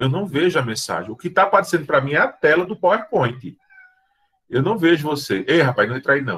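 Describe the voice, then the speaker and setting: A man's voice with very wide pitch swings. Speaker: teacher. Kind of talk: lecture.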